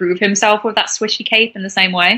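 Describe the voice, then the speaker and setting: Bright and sharp in tone, a woman speaks with an English Midlands accent. Her medium-pitched voice moves at a fairly quick pace. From England, Warwickshire. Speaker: podcast co-host. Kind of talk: casual chat.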